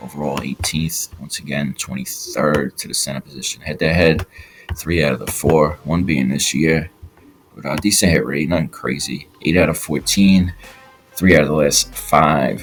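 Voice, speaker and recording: A man with a very deep, low pitch and ordinary pitch variation at a moderate pace, over noticeable background noise. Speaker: sports betting tipster. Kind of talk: casual picks breakdown. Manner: casual with fillers.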